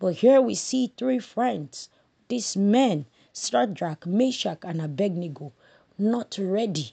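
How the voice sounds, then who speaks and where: A woman's dark, mellow voice with a Nigerian accent, medium in pitch, at a very slow pace with very wide pitch swings, over a quiet background. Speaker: Sunday school lesson presenter. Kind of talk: Bible study lesson summary, devotional teaching with prayer. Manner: earnest, fervent, prayerful, preacher-like; halting, repeats words while speaking.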